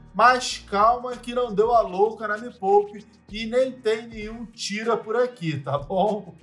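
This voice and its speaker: Over music in the background, a man with a high pitch speaks at a very slow pace with hardly any pauses, ordinary pitch variation and big swings in loudness. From Rio de Janeiro, Brazil. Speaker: investment analyst and podcast host. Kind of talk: scripted educational podcast.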